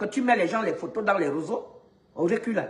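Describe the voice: Speaking at a fairly quick pace, a woman shows ordinary pitch variation while the room echo is audible.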